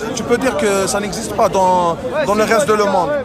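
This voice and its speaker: Against crowd noise in the background and audible room echo, a man talks at a very fast pace in a high pitch with ordinary pitch variation. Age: 20s. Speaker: university student at a protest. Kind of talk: street interview. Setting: outdoors at a street demonstration. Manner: halting.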